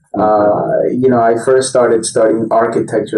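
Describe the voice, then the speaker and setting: Over noticeable background noise, a man with an American accent speaks at a medium pitch in a monotone, flat intonation. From Colombia, raised in the US from early childhood. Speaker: chief design officer. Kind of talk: podcast interview. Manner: hesitant, many fillers.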